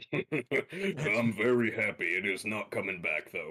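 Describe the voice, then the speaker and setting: Speaking fairly slowly, a man puts on a character voice. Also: fairly high pitch for a man. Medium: actual play. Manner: blunt, profane.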